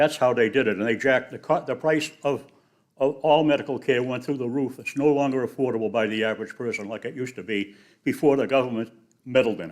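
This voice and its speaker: A man rattles along at a very fast pace, medium in pitch with ordinary variation and big swings in loudness. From New England (Boston). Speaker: public commenter. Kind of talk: public comment at council meeting.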